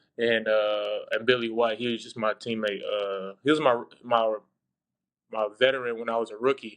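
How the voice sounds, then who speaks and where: Monotone, flat delivery from a man at medium pitch and a moderate pace. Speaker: former college basketball player, now pro. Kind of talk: interview. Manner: laid back.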